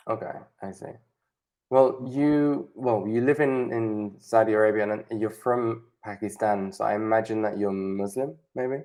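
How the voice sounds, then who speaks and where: With a British accent, the speaker talks at a fairly slow pace over a quiet background. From Spain and Britain. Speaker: online English tutor. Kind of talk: casual chat.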